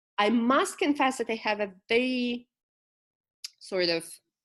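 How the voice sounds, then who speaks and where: With a Ukrainian accent, a woman speaks at a very slow pace with ordinary pitch variation. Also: quiet background. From Ukraine, Kyiv. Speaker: poet. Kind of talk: interview.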